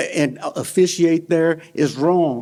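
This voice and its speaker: His pitch fairly high, a man speaks with fairly even intonation. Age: 60s. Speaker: panel speaker at a synagogue. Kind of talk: personal testimony talk. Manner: halting, with frequent repetitions.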